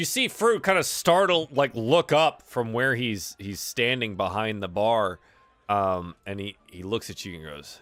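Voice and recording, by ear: A man at a fairly slow pace, fairly low pitch and fairly bright tone, with ordinary pitch variation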